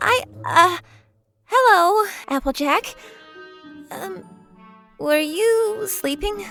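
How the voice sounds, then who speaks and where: A put-on character voice at a very slow pace, with long, frequent pauses and faint music in the background. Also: female-sounding voice, extremely high pitch for a woman. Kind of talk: fan fiction story reading. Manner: meek, hesitant.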